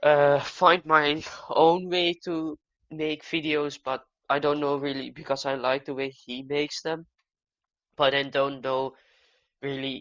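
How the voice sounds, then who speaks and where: The speaker talks at a fairly slow pace with a Dutch accent, leaving long, frequent pauses. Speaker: gaming youtuber. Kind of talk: casual monologue. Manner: halting.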